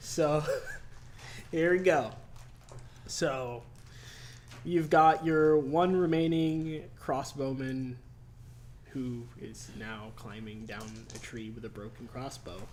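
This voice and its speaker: Speaking at a very slow pace, a man pauses long and often, his loudness swinging widely and his pitch varying in an ordinary way, all with audible room echo. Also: medium pitch for a man. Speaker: dungeon master. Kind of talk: tabletop game narration. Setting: livestream. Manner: quiet; soft-spoken.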